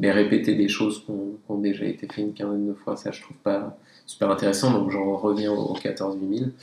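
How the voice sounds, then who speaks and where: Monotone, flat intonation at a fairly quick pace, with big swings in loudness. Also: man. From French Alps (Tignes, Savoie). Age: 30s. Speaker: professional skier and association president. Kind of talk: casual interview. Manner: halting, many fillers.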